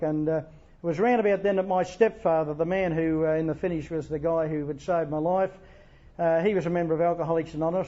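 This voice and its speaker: At a very fast pace, a man talks in a monotone, flat intonation at a high pitch. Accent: Australian. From Australia, Wagga Wagga NSW. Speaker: AA speaker. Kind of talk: testimony. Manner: halting.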